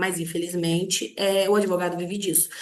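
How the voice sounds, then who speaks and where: A woman speaks with audible room echo. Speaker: lawyer and online teacher. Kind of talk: online lecture. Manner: many filler hesitations.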